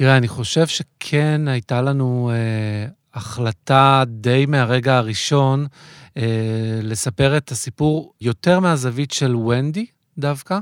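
A man at a very slow pace with ordinary pitch variation, in a dry, close sound with no echo. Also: medium pitch for a man, very clean recording, silent background. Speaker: theatre director. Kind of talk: interview. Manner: hesitant, many fillers.

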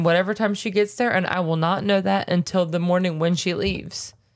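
A woman speaks with an American accent and an animated tone. Her pace is fairly quick. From US South. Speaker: podcast co-host and nurse. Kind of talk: casual chat.

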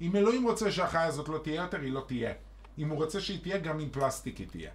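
Here is an animated man with lively intonation. His pitch is medium. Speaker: podcast co-host. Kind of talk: casual chat.

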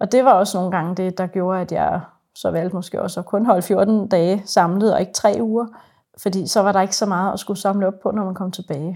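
In a very clean recording with a silent background, a woman talks at a fairly quick pace with a medium pitch, a dark, mellow tone and fairly even intonation. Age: 40s. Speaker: psychiatric nurse. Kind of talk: interview testimony. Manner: hesitant, many fillers.

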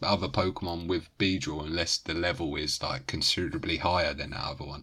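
A man speaks at a fairly quick pace with a British accent. The recording is very clean, with a silent background. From Britain. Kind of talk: casual chat.

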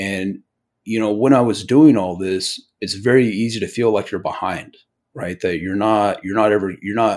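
With an American accent, a man with a normal speaking voice and a fairly low pitch speaks with fairly even intonation on a very clean recording with a silent background. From US, Eastern Oregon. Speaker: investor and military veteran. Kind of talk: interview. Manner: conversational, many fillers.

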